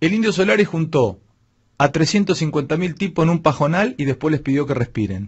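A man at a fairly high pitch, fairly quick in pace, with lively intonation and a quiet background. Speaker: radio host. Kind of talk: radio commentary, opinionated rant. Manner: sarcastic, rhetorical, mocking. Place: studio. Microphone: studio mic.

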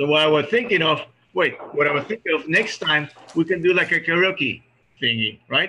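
Over light background noise, a man with a Spanish accent and fairly high pitch talks at a moderate pace and very even loudness, pausing long and often. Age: 50s. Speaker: reunion organizer; reunion host. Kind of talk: casual chat. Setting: video call. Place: home room. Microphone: video call.

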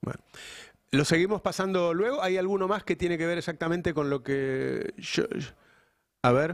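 Against a quiet background, a man with a Rioplatense accent speaks at a high pitch with ordinary pitch variation. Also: moderate pace. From Argentina. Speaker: news channel host. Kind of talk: live political interview. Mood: reflective, frustrated in places. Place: studio. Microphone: studio mic.

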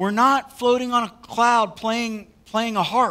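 A man uses a raised, projected voice with a bright, sharp tone, speaking at a fairly slow pace. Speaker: pastor. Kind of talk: sermon. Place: church. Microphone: headset.

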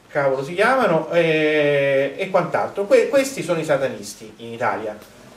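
This man talks at a moderate pace with very wide pitch swings. Room echo is audible. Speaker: conference speaker. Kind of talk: lecture. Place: hall.

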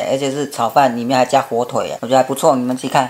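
A man speaks with a Taiwanese accent. His intonation stays flat and monotone. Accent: Taiwanese Mandarin. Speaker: food vlogger. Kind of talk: casual food review to camera. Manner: chatty, with frequent filler particles. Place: home room. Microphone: camera far.

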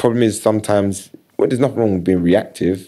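A man with a South London accent, fairly low-pitched with a dark, mellow tone, ordinary pitch variation and a very fast pace, against a quiet background. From South London, Battersea. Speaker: creative director and sports marketing agency founder; podcast guest. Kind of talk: casual interview chat. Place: studio. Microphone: studio mic.

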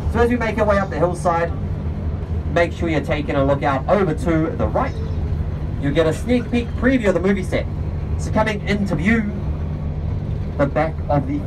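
Long pauses come often in this speech. The pace is moderate, over noticeable background noise. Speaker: tour bus guide. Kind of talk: tour guide commentary. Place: bus.

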